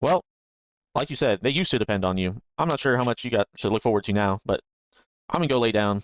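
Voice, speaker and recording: A man does a gruff, put-on character voice at a medium pitch, with lively intonation. He talks at a very fast pace yet leaves long, frequent pauses. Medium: actual play. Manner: laid-back, cynical.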